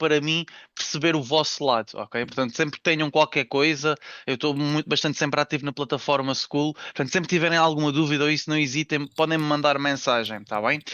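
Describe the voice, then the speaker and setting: A man's normal speaking voice, fairly high-pitched, at a fairly quick pace with fairly even intonation. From Algarve, Portugal. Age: 20s. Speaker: trader and trading instructor. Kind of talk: webinar presentation.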